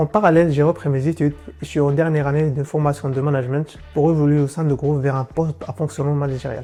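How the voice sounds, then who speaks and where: With music in the background, a man with a fairly high voice rushes along at a very fast pace, with hardly any pauses and fairly even intonation. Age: 20s. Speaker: automotive engineer. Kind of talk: corporate employee portrait.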